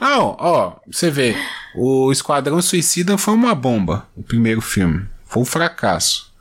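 A man talks with a fairly high pitch that moves through very wide swings. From Brazil. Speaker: podcast host. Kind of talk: casual chat.

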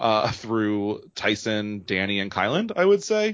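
A man speaks at a fairly slow pace and a medium pitch. He has an ordinary speaking voice. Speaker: podcast host. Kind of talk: casual chat.

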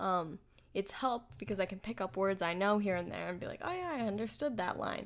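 In a very clean recording with a silent background, a woman uses an ordinary speaking voice at a medium pitch and a fairly quick pace, with ordinary pitch variation. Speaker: podcast co-host and language learner. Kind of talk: casual chat.

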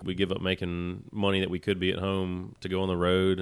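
In a Southern US accent, a man with a very deep, low voice speaks fairly quickly in a monotone, flat intonation. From Alabama (Tuscaloosa). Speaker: rock band drummer. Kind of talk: interview.

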